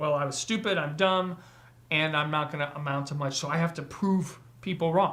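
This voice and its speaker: Delivered at a moderate pace, a man's fairly high-pitched voice has fairly even intonation and is an unremarkable speaking voice. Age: 40s. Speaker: podcast host. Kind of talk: casual chat. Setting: livestream.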